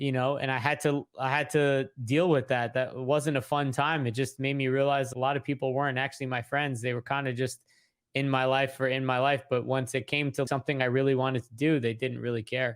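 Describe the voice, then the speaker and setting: In a very clean recording with a silent background, a man speaks at medium pitch in a monotone, flat intonation, at a fairly quick pace with hardly any pauses. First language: not English. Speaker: real estate investor and content creator. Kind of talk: interview. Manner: casual.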